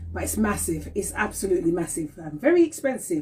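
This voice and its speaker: Here a woman talks at a fairly quick pace. Her voice is somewhat breathy. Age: 50s. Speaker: talk show host. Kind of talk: casual live-stream chat. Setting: Instagram live stream. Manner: animated.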